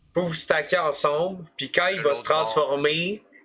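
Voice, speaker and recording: A man's fairly high-pitched voice over light background noise. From Quebec. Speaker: gamer streamer. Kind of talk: casual chat. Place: home room. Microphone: headset.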